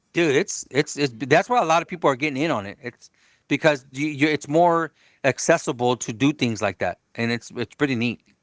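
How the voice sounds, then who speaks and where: A fairly high male voice at a fairly quick pace, with ordinary pitch variation. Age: 40s. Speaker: auto body painter and car customizer. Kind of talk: casual podcast interview. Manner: halting, many repeated words.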